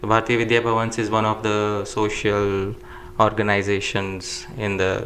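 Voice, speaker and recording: A man speaks at a moderate pace with a fairly low pitch and flat, monotone intonation, with audible room echo and noticeable background noise. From India, Jaipur. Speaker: Sanskrit scholar. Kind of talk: interview.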